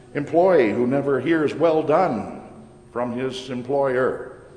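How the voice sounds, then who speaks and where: A man talks at a very slow pace with a fairly high pitch and ordinary pitch variation. The room echo is audible, and background noise is noticeable. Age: old. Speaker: pastor. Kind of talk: sermon.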